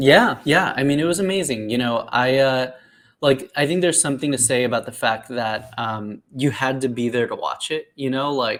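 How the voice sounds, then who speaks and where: A man with an American accent speaks in an ordinary speaking voice at medium pitch and a moderate pace. His pitch varies in an ordinary way, and the recording is very clean with a silent background. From South Florida, US. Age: 30s. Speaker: comic book writer. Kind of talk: interview. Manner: casual, many fillers.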